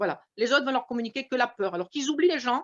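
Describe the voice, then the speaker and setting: High female speech with ordinary pitch variation. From France. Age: 60s. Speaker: retired shopkeeper, investor. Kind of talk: testimony.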